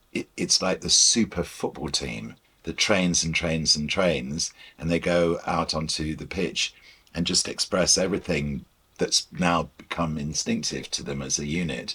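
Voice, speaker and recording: A man speaks fairly slowly at a very deep, low pitch with ordinary pitch variation. His tone is bright and sharp, with vocal fry. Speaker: broadcaster and music presenter being interviewed about the Beatles. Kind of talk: interview answer.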